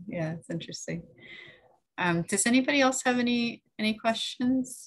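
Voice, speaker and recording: Over a quiet background, a woman with a high pitch talks at a moderate pace with lively intonation. She leaves long, frequent pauses. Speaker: library event host. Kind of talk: event introduction and Q&A moderation. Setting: video call. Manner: halting, many fillers. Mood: friendly, relaxed. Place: home room. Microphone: webcam.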